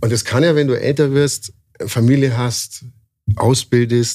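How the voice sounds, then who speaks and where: A man's dark, mellow, somewhat breathy voice at a medium pitch, very slow in pace. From Bavaria, Landsberg am Lech. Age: 40s. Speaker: tattoo artist. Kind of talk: casual interview. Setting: at a trade event.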